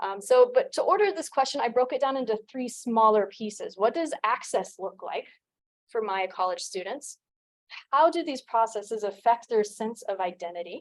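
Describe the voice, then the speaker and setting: A woman with an American accent speaks at a moderate pace in an ordinary speaking voice, her fairly high pitch carried by lively intonation. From United States. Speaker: doctoral candidate, anthropologist. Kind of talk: dissertation defense presentation. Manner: formal.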